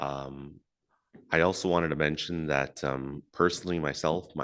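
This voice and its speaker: Against a quiet background, the speaker uses vocal fry and a flat, monotone delivery at a moderate pace. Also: man. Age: young. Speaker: First Nations chief. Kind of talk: welcome speech.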